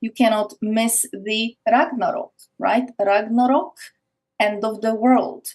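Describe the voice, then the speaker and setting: A woman's somewhat breathy, fairly high voice with fairly even intonation and a fairly slow pace. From Poland. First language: Polish. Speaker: spiritual teacher on esoteric topics. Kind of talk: podcast interview, explanatory monologue.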